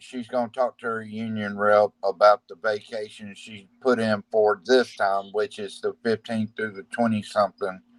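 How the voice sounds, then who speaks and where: A man speaks at a moderate pace and medium pitch in a monotone, flat intonation, with big swings in loudness. The sound is dry and close, with no echo. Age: 40s. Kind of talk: casual chat.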